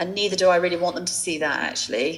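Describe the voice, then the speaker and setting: A woman speaks at a medium pitch. She has a southern English accent. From England. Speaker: fashion entrepreneur. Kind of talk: interview. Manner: halting.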